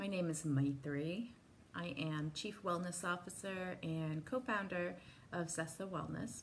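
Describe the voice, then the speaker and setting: Soft-spoken and somewhat breathy, a woman with a fairly low pitch speaks at a fairly slow pace in a calm, gentle tone with ordinary pitch variation, over light background noise. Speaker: wellness instructor. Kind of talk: guided meditation. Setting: live video call. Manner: calm, soft-spoken; slow, gentle, paced with pauses. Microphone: phone near.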